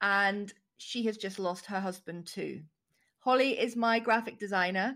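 Fairly high in pitch, a woman talks at a fairly slow pace in an ordinary speaking voice with ordinary pitch variation, on a very clean recording with a silent background. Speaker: podcast host. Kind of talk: interview intro and chat.

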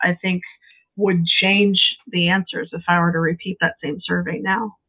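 At a fairly slow pace, a woman speaks with ordinary pitch variation in an unremarkable speaking voice. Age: 50s. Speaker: game romance researcher. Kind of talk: casual interview.

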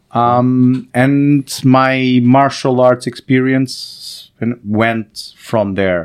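A man with a Portuguese accent, medium pitch, fairly even intonation, a very slow pace and hardly any pauses. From Portugal, born in Angola. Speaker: startup founder and CEO. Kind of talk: interview. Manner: halting, many fillers and repetitions.

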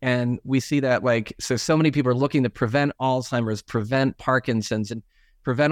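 A man speaks in an ordinary speaking voice at a medium pitch and moderate pace, with fairly even intonation. The sound is dry and close with no echo, against a quiet background. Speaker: doctor. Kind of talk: interview.

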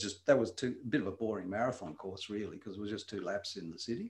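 Speaking at a very fast pace, a man with a fairly low pitch sounds somewhat breathy and has ordinary pitch variation. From Wales, then Tasmania, Australia from age 10. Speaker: retired doctor. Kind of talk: casual interview. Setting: studio, same room as host.

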